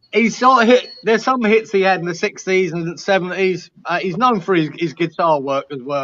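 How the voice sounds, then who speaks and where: A man with a London accent, high-pitched, fairly quick, with lively intonation and hardly any pauses. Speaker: football fan panelist. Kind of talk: casual chat.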